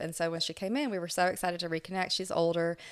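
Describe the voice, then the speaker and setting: With an American accent, a woman speaks in a normal speaking voice at a fairly quick pace, her pitch fairly low, on a very clean recording with a silent background. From Florida. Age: 40s. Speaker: dental hygienist and cancer survivor. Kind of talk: interview testimony.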